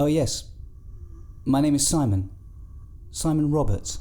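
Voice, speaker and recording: Using a put-on character voice, a man speaks at a moderate pace. His voice is shaky and fairly high, with ordinary pitch variation. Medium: audio drama. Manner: hesitant, quivering.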